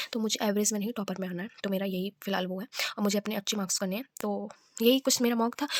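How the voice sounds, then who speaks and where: The sound is dry and close, with no echo. The intonation is fairly even. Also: woman, medium pitch for a woman. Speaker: vlogger and bank exam aspirant. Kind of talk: casual vlog. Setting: self-recorded on camera. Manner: loud; halting.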